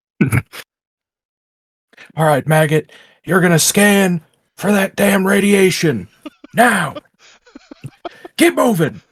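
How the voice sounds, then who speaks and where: A man uses a put-on character voice with a high pitch. He goes at a fairly slow pace with long, frequent pauses. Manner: gruff, barking orders.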